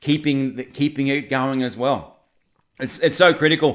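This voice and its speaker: An animated man speaks with a fairly high pitch at a moderate pace. The recording is very clean, with a silent background. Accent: Australian. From Australia. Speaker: political commentary YouTuber. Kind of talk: livestream chat. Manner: halting, many repetitions and fillers.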